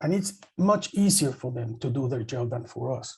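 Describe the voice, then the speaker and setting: The voice is somewhat breathy with a dark, mellow tone and lively intonation. It keeps a moderate pace. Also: man. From El Salvador. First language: Spanish. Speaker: journalist, panelist. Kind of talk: panel discussion.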